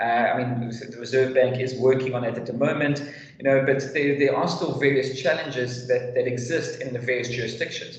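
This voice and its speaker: A man with a South African accent speaks at a fairly quick pace and with fairly even intonation. Audible room echo and noticeable background noise fill the recording. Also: medium pitch for a man. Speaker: fintech hub leader. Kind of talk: webinar panel answer. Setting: video call webinar. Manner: halting, many fillers and restarts.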